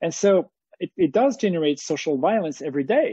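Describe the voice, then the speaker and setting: His pace is moderate. A man talks with a French accent. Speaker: activist thinker on economy and society. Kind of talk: interview. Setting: live video webinar. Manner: halting, many fillers.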